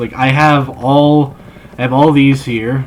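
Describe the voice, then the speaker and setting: Against noticeable background noise, a man speaks in a monotone, flat intonation with an American accent. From Texas until age ten, then Northern Ireland. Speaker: gaming streamer. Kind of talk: casual gaming livestream commentary. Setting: live stream late at night.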